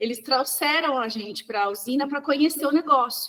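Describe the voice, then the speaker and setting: A woman speaks with a high pitch and a bright, sharp tone. Her intonation is lively and her pace moderate. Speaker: sugarcane producer, rural leader. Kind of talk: podcast interview. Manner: talks with her hands, animated.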